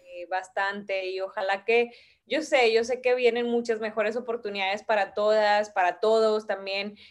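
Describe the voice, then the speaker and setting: On a very clean recording with a silent background, a woman with an unremarkable speaking voice talks at a moderate pace, fairly high pitch and fairly even intonation. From Mexico, Tamaulipas. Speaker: sports agency founder. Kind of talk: interview.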